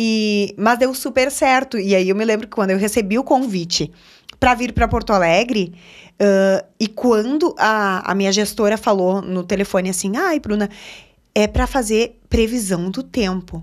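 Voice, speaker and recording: The woman's pitch rises and falls in an ordinary way. Behind her, all is quiet. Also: moderate pace. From Rio Grande do Sul interior, Alecrim (border with Argentina); Rio Grande do Sul, Brazil. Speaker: TV journalist and presenter; TV journalist, presenter. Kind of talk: casual interview chat. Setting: studio. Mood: cheerful, warm. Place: studio. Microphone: studio mic.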